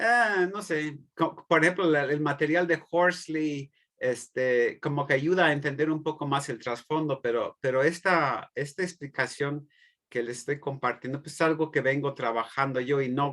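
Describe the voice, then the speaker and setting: Here a man speaks at a fairly slow pace. His voice is fairly high, with ordinary pitch variation. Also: quiet background. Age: 60s. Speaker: theology professor. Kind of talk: lecture. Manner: halting.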